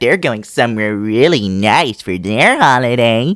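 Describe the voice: Using a put-on character voice, a man talks at a moderate pace with a medium pitch and ordinary pitch variation.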